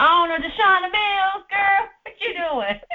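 An extremely high, put-on character voice at a fairly slow pace. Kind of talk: warm, familiar, colloquial.

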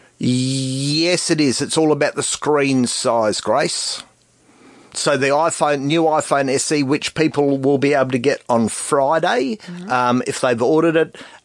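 With an Australian accent, the speaker talks at a fairly slow pace with ordinary pitch variation. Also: man, fairly high pitch for a man. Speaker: tech expert. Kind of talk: radio call-in chat. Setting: radio studio.

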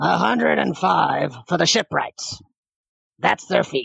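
Putting on a character voice, a man sounds gruff and raspy at medium pitch, moving at a fairly slow pace. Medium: actual play. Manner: gruff, curt.

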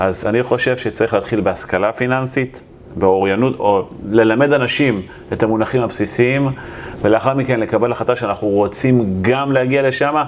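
Noticeable background noise sits behind a man with a medium pitch. His pitch varies in an ordinary way. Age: 40s. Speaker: real estate investor and developer. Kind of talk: interview.

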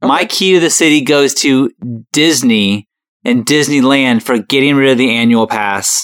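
A man with a normal speaking voice, medium pitch, moderate pace and very even loudness, in a very clean recording with a silent background. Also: ordinary pitch variation. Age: 30s. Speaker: comedy video creator. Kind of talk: casual chat.

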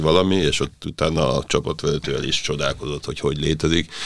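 The speech comes at a fairly quick pace with fairly even intonation over noticeable background noise. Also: man. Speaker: podcast host. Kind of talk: interview. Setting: studio.

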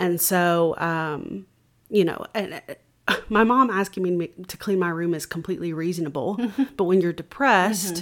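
A woman with a Southern US accent, fairly low in pitch, at a moderate pace. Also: ordinary pitch variation. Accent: Southern US (Georgia). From US South, Georgia (Cartersville). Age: 20s. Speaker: church member sharing her faith testimony; singer. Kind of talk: testimony.

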